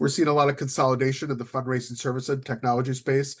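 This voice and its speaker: Against a quiet background, a man with an American accent talks at medium pitch in a somewhat breathy voice. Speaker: nonprofit consultant and executive. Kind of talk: webinar presentation. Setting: online webinar. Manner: fast.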